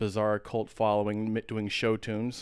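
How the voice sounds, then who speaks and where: A man with a plain, everyday voice and an American accent speaks at a fairly quick pace and medium pitch in a very clean recording with a silent background. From Texas (San Antonio, Austin). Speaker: keyboardist and entertainer. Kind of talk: casual chat.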